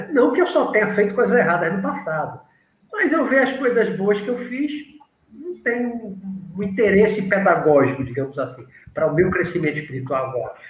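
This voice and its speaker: With audible room echo, a man speaks at a fairly quick pace and a high pitch, his voice making very wide pitch swings. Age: 60s. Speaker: spiritualist teacher. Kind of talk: interview.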